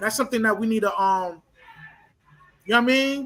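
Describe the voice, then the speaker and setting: In an American accent, a man speaks in a raised, projected voice with a high pitch. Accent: urban American vernacular. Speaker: discussion guest. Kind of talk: casual discussion. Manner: hesitant, many fillers and repetitions.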